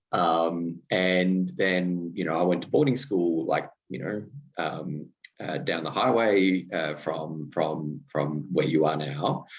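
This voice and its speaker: In an Australian accent, a man talks at a very slow pace with a very deep, low pitch and ordinary pitch variation. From Australia, regional Victoria. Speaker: podcast host. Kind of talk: casual conversation. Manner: hesitant, many fillers.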